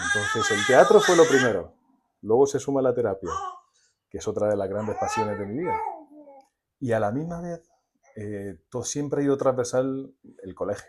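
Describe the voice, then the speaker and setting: Loudness swings widely at a moderate pace, broken by long, frequent pauses. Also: man. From Spain, Murcia region (Águilas). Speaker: storyteller and psychotherapist. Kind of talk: podcast interview.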